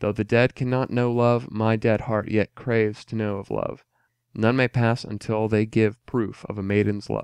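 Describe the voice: The background stays quiet during this plain reading aloud.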